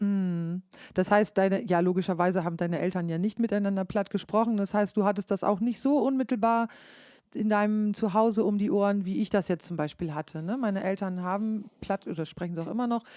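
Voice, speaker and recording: A woman's dark, mellow voice at medium pitch, fairly quick in pace, with ordinary pitch variation. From northern Germany, East Frisia, Leer district. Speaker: podcast host, musician. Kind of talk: casual chat. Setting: podcast.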